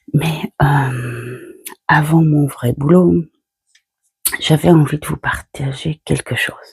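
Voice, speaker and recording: Soft-spoken and very slow, a woman talks in a very deep, low pitch with big swings in loudness and long, frequent pauses, the sound dry and close with no echo. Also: ordinary pitch variation. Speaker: tarot card reader. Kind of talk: casual chat. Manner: halting.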